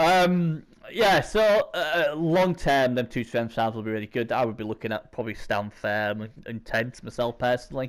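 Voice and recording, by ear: The tone is clear and smooth, with ordinary pitch variation. The pace is moderate. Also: man, medium pitch for a man.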